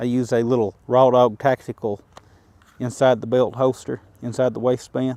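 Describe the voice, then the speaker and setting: In an Appalachian accent, a man talks at a moderate pace with a medium pitch, a dark, mellow tone and monotone, flat intonation, recorded dry and close with no echo. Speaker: firearms YouTuber. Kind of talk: tutorial. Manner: casual.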